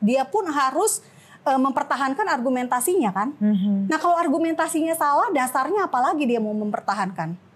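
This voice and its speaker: The woman's voice sits at a high pitch. It moves through very wide pitch swings. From Makassar, Indonesia (Manado family); Indonesia. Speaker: journalist and activist; journalist. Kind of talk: casual interview. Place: studio.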